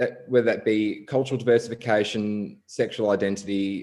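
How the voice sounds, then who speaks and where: A man with an Australian accent, fairly low in pitch, at a moderate pace with fairly even intonation, against a quiet background. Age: 20s. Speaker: council election candidate. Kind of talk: candidate speech at online forum.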